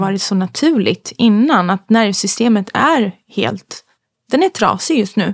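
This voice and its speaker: Vocal fry in a woman's medium-pitched voice, very slow and lively in intonation, with a dry, close sound and no echo. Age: 30s. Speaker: podcast guest. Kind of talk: casual chat.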